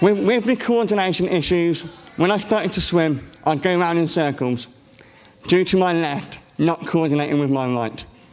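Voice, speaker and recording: In a room with audible echo, a man with a high pitch talks at a moderate pace with ordinary pitch variation. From England. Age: 20s. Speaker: conference speaker with a rare condition. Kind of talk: personal testimony talk. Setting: stage with audience. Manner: halting.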